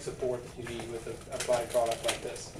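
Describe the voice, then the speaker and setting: Noticeable background noise and audible room echo surround the recording. A man speaks with a South African accent. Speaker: engineer presenting to sales reps. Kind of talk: product presentation.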